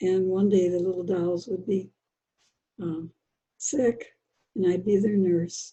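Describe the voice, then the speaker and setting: Somewhat breathy and medium in pitch, a woman with an American accent speaks at a fairly slow pace with fairly even intonation. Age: 80s+. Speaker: children's book author. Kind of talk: interview.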